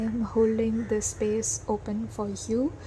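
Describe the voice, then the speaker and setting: A dark, mellow tone comes through with a somewhat breathy quality. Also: woman. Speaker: tarot reader. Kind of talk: tarot reading monologue. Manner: hesitant, many fillers.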